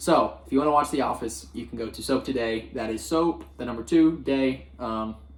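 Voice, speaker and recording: Speaking at a moderate pace with hardly any pauses, a man uses very wide pitch swings and big swings in loudness over noticeable background noise. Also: medium pitch for a man. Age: 20s. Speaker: podcast co-host. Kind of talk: casual chat. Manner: animated.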